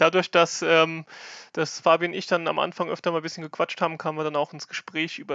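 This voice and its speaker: This man's voice sits at a fairly high pitch. His intonation stays monotone and flat. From Germany, Rhineland-Palatinate (near Kaiserslautern). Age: 20s. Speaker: fantasy football player and league organiser. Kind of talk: podcast explainer.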